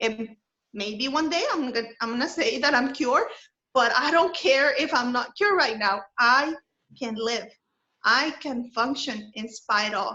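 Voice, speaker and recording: A woman with a non-native accent at a high pitch and a fairly slow pace, with ordinary pitch variation. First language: not English. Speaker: wellness presenter. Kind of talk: webinar presentation.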